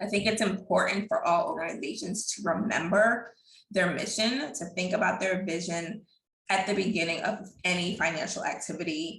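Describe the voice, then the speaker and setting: A woman with an ordinary speaking voice, medium pitch, ordinary pitch variation and a moderate pace. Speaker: accountant. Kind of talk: webinar presentation.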